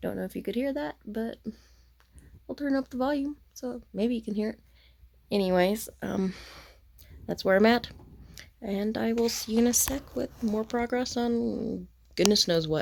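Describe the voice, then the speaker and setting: A soft-spoken woman talks at a moderate pace with ordinary pitch variation. Her speech has long, frequent pauses. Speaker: crafting vlogger. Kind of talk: casual vlog monologue. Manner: soft-spoken, talking low.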